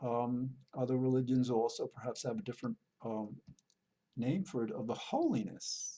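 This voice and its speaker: This man talks at a fairly slow pace with a somewhat breathy, dark and mellow tone, his fairly high pitch moving in very wide swings. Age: 60s. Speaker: TV host on spirituality. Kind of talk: solo monologue. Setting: public access television recording. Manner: halting, with many repetitions and fillers.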